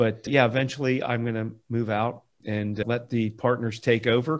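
On a very clean recording with a silent background, a man with an American accent speaks in a plain, everyday voice at a medium pitch. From Florida. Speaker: landscape architect. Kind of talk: casual chat.

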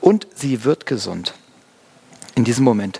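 A dry, close sound with no echo, carrying lively intonation. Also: man. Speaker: pastor. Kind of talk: sermon. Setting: church. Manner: casual, conversational; warm, explanatory.

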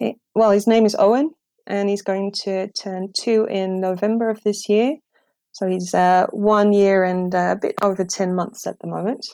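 A woman with a slight non-native accent speaks at a moderate pace and medium pitch, her intonation fairly even. Her tone is dark and mellow, in a very clean recording with a silent background. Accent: near-native English. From Netherlands. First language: Dutch. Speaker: English teacher. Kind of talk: interview.

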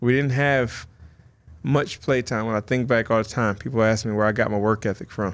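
A man with an American accent talks at a fairly quick pace in an ordinary speaking voice. His pitch is fairly low and his intonation fairly even, in a very clean recording with a silent background. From US Midwest, northern Illinois (small town near Rockford). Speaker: professional mixed martial artist. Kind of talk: interview.

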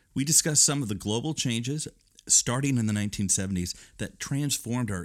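Over a silent background in a very clean recording, a man uses a plain, everyday voice, talking at a moderate pace with lively intonation. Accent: American. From Northern Illinois. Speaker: podcast host. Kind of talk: interview conversation.

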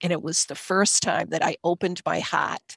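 A woman with a Boston accent talks at a moderate pace. The sound is dry and close, with no echo. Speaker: occupational therapist and Reiki teacher. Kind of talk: interview storytelling. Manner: animated.

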